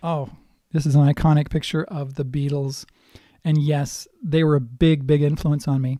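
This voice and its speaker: A man talks at a moderate pace. His fairly high voice stays monotone and flat. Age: 60s. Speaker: guitar teacher. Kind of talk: casual talk to camera about musical influences. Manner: hesitant, many fillers.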